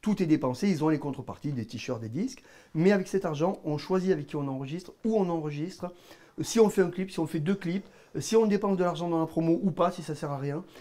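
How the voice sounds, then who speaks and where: In a southern French accent, a man speaks at a fairly quick pace with a high pitch, ordinary pitch variation and a dark, mellow tone. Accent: southern French (Midi). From southern France, Gard (Cévennes). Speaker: musician and band manager. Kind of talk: interview. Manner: halting.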